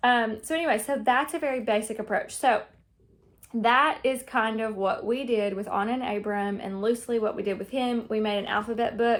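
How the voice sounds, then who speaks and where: Over a silent background in a very clean recording, a woman talks at a fairly quick pace and fairly high pitch with ordinary pitch variation. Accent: Southern US. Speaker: homeschooling mother. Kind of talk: casual talk to camera. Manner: informal, many fillers.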